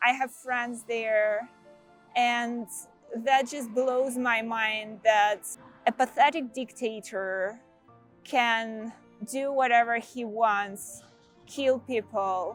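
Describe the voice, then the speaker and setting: A woman with a Russian accent at a very slow pace, long and frequent pauses, fairly even intonation and music in the background. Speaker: senior product manager. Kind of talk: casual talk to camera.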